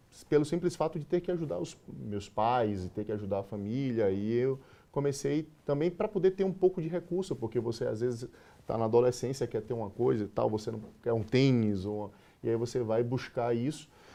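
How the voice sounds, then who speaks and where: This man has a medium pitch and lively intonation. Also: moderate pace. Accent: Bahian. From Bahia, Brazil. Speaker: sales manager. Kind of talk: interview.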